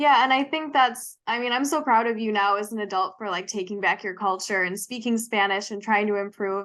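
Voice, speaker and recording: A woman's normal speaking voice in an American accent, fairly high in pitch, with ordinary pitch variation and a moderate pace. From US Midwest, Wisconsin. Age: 20s. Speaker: podcast co-host. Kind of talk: casual chat.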